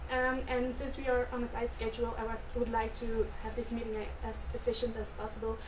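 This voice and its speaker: With a Belgian accent, a woman talks at a fairly quick pace with hardly any pauses, against noticeable background noise. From Belgium. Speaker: business student in a sales role-play. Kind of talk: role-play sales pitch. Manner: halting, with many fillers.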